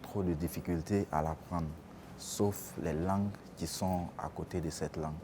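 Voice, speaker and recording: The speaker talks at a very slow pace with an Ivorian accent. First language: Baoulé (speaking French). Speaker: student. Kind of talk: vox pop interview.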